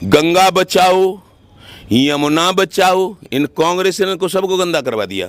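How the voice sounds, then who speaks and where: A high-pitched man with ordinary pitch variation. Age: 70s. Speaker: farmer union leader. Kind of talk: interview. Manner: animated.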